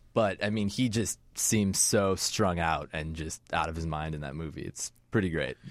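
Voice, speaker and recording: A man's very deep, low voice at a moderate pace, with ordinary pitch variation and hardly any pauses, in a very clean recording with a silent background. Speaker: filmmaker. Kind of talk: casual chat.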